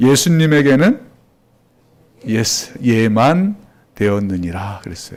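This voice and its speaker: Very wide pitch swings mark this man's speech, which comes at a very slow pace with long, frequent pauses. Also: medium pitch for a man. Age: 60s. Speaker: pastor. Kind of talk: sermon. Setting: church.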